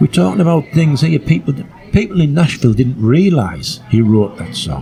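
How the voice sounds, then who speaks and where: A man's medium-pitched voice with very wide pitch swings, music in the background. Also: moderate pace. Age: 60s. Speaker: music historian and campaigner. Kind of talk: podcast interview. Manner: halting.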